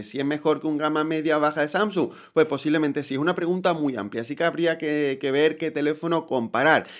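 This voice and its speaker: A man with a plain, everyday voice, fairly high in pitch with ordinary pitch variation, quick-paced with hardly any pauses, on a very clean recording with a silent background. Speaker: tech youtuber. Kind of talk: product review. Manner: conversational.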